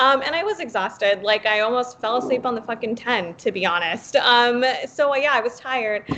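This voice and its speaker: A woman speaks with an American accent at a high pitch, with ordinary pitch variation. Her tone is animated and she hardly pauses at all. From Los Angeles, Pacoima (San Fernando Valley). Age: 20s. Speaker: political podcast panelist and campaign organizer. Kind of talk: casual chat. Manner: animated, emotional.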